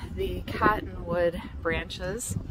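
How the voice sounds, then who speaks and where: Loud noise fills the background, though the sound itself is dry with no echo. A woman speaks at a very slow pace. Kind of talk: casual vlog chat. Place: waterside. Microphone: phone near.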